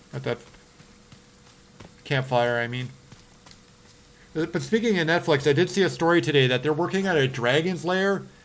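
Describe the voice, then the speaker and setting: Pausing long and often, a man with a Canadian accent speaks at a fairly high pitch with ordinary pitch variation. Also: moderate pace. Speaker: horror game streamer. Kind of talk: live gameplay stream chat. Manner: animated.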